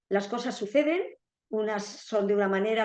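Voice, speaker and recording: Medium-pitched woman, a plain, everyday voice, at a moderate pace. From Spain, Basque Country (San Sebastián). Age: 60s. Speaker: retired therapist sharing a grief story. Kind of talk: interview testimony.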